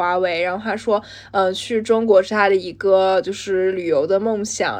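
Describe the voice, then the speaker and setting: A woman with an unremarkable speaking voice and a medium pitch talks at a moderate pace with fairly even intonation. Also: quiet background. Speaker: podcast co-host, graduate student. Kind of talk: casual chat.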